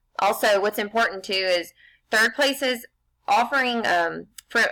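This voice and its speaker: Bright and sharp in tone, a woman speaks with ordinary pitch variation. The recording is very clean, with a silent background. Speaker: graduate student. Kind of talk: research presentation. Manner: fast.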